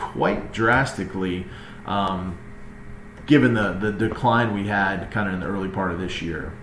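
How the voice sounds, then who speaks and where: Noticeable background noise and audible room echo both run through the recording. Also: man. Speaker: real estate agent. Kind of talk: market update presentation. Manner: fast.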